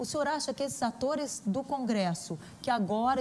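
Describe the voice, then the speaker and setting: Somewhat breathy speech from a woman, moderate in pace, with ordinary pitch variation. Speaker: journalist interviewer. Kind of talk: political interview. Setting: video call.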